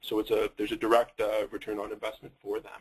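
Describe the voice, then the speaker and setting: In a Canadian accent, a man speaks at a fairly quick pace. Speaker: software company representative. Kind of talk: webinar product presentation. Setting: online webinar. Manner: halting, many fillers.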